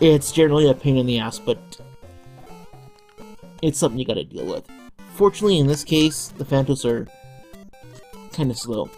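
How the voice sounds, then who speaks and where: With music in the background, the speech runs at a fairly quick pace broken by long, frequent pauses. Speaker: let's play gamer. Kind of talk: casual gameplay commentary. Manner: somewhat halting, stuttered.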